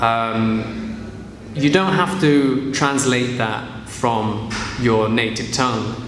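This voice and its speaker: Clear background noise beneath fairly even intonation. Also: man. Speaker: English teacher. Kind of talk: casual talk to camera.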